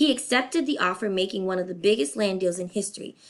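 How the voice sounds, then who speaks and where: Lively intonation marks the speech. The woman's pitch is medium. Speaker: elementary school teacher. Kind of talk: lecture. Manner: fast.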